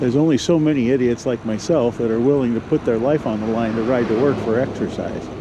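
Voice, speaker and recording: Speaking at a moderate pace with an American accent, a man shows ordinary pitch variation amid noticeable background noise. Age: 60s. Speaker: e-bike vlogger. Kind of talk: casual vlog while riding. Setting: outdoors on a bike. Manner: casual, hesitant with fillers.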